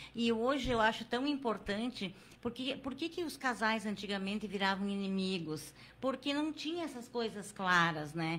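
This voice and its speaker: A woman with a normal speaking voice talks at a fairly high pitch and a moderate pace, her intonation lively. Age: 60s. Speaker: podcast host. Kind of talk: casual chat.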